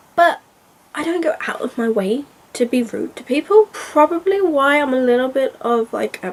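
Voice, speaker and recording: A woman with a British accent speaks at a moderate pace in a high voice, with very wide pitch swings and big swings in loudness, over noticeable background noise. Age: 30s. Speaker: book vlogger. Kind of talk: casual vlog monologue. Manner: soft-spoken; halting.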